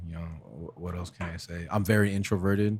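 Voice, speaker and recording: The speaker has a New Jersey accent and fairly even intonation. The recording is very clean, with a silent background. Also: man. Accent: New Jersey American. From US Northeast, northern New Jersey, Essex County. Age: 20s. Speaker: podcast guest, videographer. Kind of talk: casual chat. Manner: relaxed, conversational with fillers.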